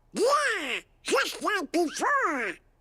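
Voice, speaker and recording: An extremely high, squeaky put-on character voice. It swings very widely in pitch. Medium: video game.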